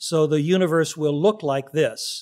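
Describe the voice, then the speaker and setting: A man speaks in a plain, everyday voice with a General American accent, his pitch fairly high and ordinarily varied, at a moderate pace. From California, Pasadena. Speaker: astrophysicist. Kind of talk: lecture.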